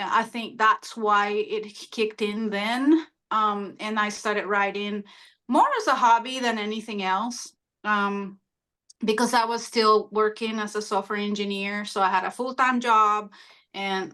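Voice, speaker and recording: A woman's bright, sharp, fairly high voice with a Spanish accent, fairly slow and fairly even in intonation, against a quiet background. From Honduras. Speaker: author. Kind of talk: interview. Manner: hesitant, many fillers.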